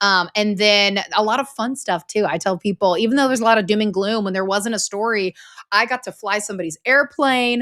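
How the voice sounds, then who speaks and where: A woman's unremarkable speaking voice, fairly high in pitch and fairly quick, in a very clean recording with a silent background. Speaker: former news anchor, story coach. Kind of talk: interview.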